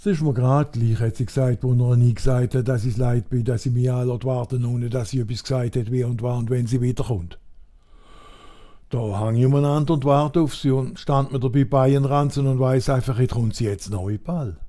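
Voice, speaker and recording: A man's medium-pitched voice with an Alemannic accent, dark and mellow in tone and somewhat breathy, at a moderate pace with ordinary pitch variation. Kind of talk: comic dialect monologue.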